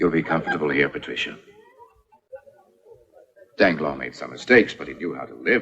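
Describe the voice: A man puts on a character voice with an extremely low pitch, a fairly bright tone and a slightly husky edge. He speaks at a moderate pace with lively intonation.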